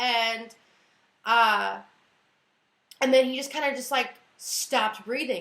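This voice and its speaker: A woman speaks in an animated way, her tone bright and sharp. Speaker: YouTuber telling personal stories. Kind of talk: storytime monologue. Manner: fast.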